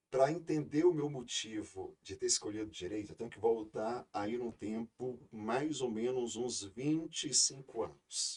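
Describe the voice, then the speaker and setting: This man speaks at a very slow pace with a medium pitch. His intonation is lively and his loudness swings widely. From Brazil, interior of Ceará. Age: 40s. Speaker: law professor and lawyer. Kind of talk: podcast interview. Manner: hesitant, many filler repetitions.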